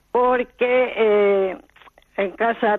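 Woman's fairly high voice with fairly even intonation. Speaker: caller. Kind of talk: phone-in call. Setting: phone call.

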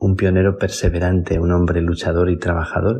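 This man's very deep, low voice is somewhat breathy and stays monotone and flat. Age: 50s. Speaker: priest. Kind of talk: spoken reflection. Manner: halting.

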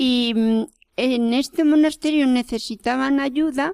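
A woman with a high pitch talks at a very slow pace, with ordinary pitch variation. The very clean recording has a silent background and a dry, close sound with no echo. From Madrid, Spain. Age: 80s+. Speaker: cloistered nun. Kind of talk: interview.

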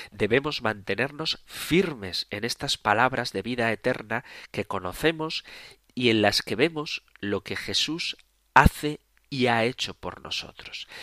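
The voice has a bright, sharp tone and lively intonation at a fairly slow pace. The recording is very clean, with a silent background and a dry, close sound with no echo. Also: man, medium pitch for a man. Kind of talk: radio catechesis lecture. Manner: calm, explanatory.

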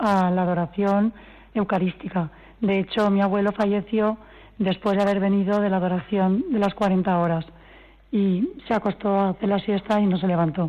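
A dark, mellow tone carries through at a very even loudness, with fairly even intonation. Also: woman. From Valencia region, Spain. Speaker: granddaughter of a couple in beatification process. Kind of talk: radio interview.

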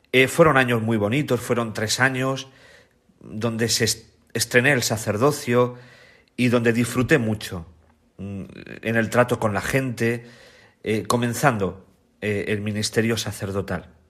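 On a very clean recording with a silent background, a man speaks at a medium pitch with fairly even intonation. His pace is fairly slow, with long, frequent pauses. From Spain, La Mancha (Ciudad Real). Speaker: priest and biblical scholar. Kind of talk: radio interview, testimony.

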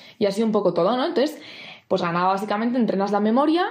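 A woman speaks over noticeable background noise. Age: 20s. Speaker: camp mentor. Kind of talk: prepared talk.

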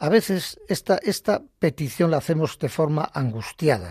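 This man has a fairly high pitch and a somewhat breathy voice, speaking fairly slowly. His intonation is lively, and the recording is very clean with a silent background. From Basque Country, Bilbao. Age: 70s. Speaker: retired lay catechist. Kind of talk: faith testimony on radio. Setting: radio studio.

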